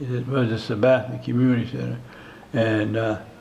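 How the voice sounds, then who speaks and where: Over noticeable background noise and audible room echo, a man speaks with medium pitch and monotone, flat intonation. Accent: American. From US Midwest, South Minneapolis, Minnesota. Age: 90s. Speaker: community center founding member. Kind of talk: interview. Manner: halting, with many fillers.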